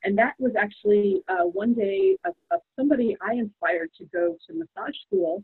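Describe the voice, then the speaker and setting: A woman with an American accent speaks in a plain, everyday voice at a moderate pace with lively intonation. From New York. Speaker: psychotherapist. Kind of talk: interview conversation.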